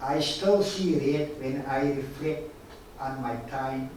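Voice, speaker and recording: A man's fairly high voice at a very slow pace, with ordinary pitch variation, noticeable background noise and audible room echo. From South Africa, Stellenbosch. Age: 70s. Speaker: guest speaker, victim of forced removals. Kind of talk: prepared talk to students.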